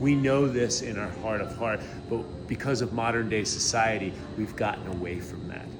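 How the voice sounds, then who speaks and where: Talking at a fairly quick pace and medium pitch, a man is heard with audible room echo and noticeable background noise. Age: 60s. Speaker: health influencer. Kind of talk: interview.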